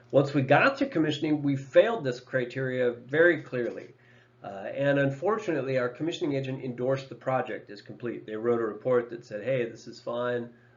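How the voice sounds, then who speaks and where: A man's medium-pitched voice at a fairly quick pace, with ordinary pitch variation and big swings in loudness. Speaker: energy engineer presenting case studies. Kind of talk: presentation. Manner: fast.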